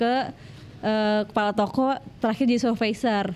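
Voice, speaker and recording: Her voice fairly high, a woman speaks at a moderate pace. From West Java (Bandung, Sundanese). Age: 20s. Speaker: interview guest, domestic abuse survivor. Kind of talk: personal testimony interview. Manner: casual, hesitant with fillers.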